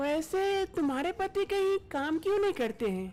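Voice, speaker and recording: Over light background noise, a woman puts on a squeaky character voice at an extremely high pitch, with lively intonation at a moderate pace. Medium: cartoon. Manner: commanding with the maid.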